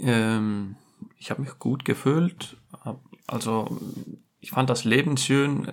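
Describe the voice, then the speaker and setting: A man at medium pitch with ordinary pitch variation, big swings in loudness, a very slow pace and long, frequent pauses. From Iceland. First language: Icelandic (speaking German). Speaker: furniture fitter. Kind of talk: casual chat.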